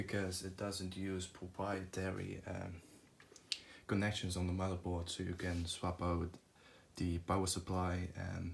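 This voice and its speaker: A man with a very deep, low pitch and a somewhat breathy voice speaks at a fairly slow pace in a monotone, flat intonation. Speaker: tech youtuber. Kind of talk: tutorial. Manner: halting, many fillers.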